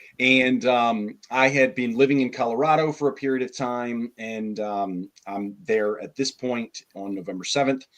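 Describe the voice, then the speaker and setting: A man with an ordinary speaking voice talks at a fairly slow pace and medium pitch, with ordinary pitch variation and hardly any pauses. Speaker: guest sharing testimony. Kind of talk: testimony. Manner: casual.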